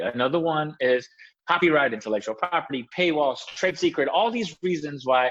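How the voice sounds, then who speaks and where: A man talks at a fairly high pitch. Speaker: privacy expert. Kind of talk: podcast interview.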